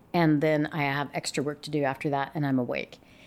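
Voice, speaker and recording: A clean female voice with an American accent, the recording very clean and the background silent. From Yakima, Washington. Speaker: investigative TV news reporter. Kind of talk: casual interview chat. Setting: lawyer's office. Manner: talkative.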